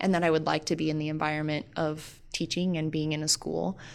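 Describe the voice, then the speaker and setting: A woman's very deep, low-pitched voice carries an American accent. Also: very clean recording, silent background. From Sheridan, Wyoming, US. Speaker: high school science teacher. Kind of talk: casual interview.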